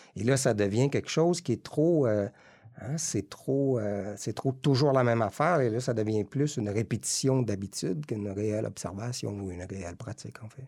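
On a very clean recording with a silent background, a man of medium pitch speaks at a moderate pace with a dark, mellow tone and ordinary pitch variation. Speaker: meditation and yoga teacher. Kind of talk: casual chat. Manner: halting.

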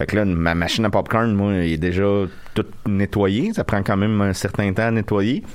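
A man speaks at a moderate pace. He has an unremarkable speaking voice, fairly low in pitch. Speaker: podcast co-host. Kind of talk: casual chat. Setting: studio.

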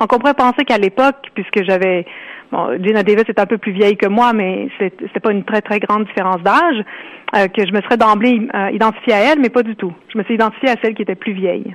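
A woman speaks at a fairly quick pace with fairly high pitch and ordinary pitch variation. Noticeable background noise runs behind her. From Ontario, Canada. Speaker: author. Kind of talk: interview.

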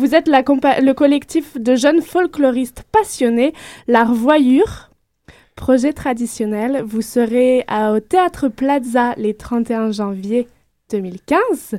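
A woman speaks very slowly in a high, dark and mellow voice with ordinary pitch variation, the sound dry and close with no echo on a very clean recording with a silent background. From France. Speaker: radio host. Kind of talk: radio interview. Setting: studio.

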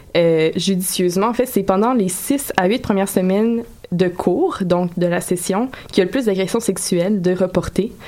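A woman speaks at a medium pitch with ordinary pitch variation. Noticeable background noise runs under her voice. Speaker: radio columnist. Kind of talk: casual chat.

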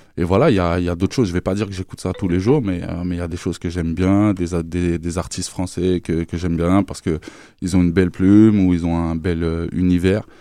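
Very deep and low, this man's voice has a dark, mellow tone. He talks at a fairly quick pace with fairly even intonation. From France. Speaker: rapper. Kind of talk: interview. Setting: studio.

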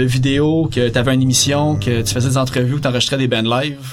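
A man at a medium pitch speaking very fast in a Quebec accent, with noticeable background noise. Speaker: podcast host. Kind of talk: casual interview.

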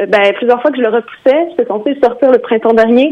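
Noticeable noise lies under speech that runs at a fairly quick pace. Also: woman. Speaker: singer-songwriter. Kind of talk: interview. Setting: phone call.

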